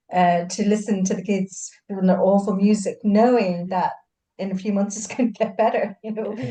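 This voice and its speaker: Somewhat breathy and dark, mellow in tone, a woman speaks at a medium pitch and moderate pace in a flat monotone. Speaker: hypnosis practitioner. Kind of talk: casual chat.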